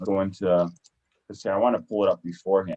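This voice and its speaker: Very fast and dry, with a close sound and no echo, a man speaks in a dark, mellow tone. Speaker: livestream show host. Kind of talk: casual livestream chat. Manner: energetic.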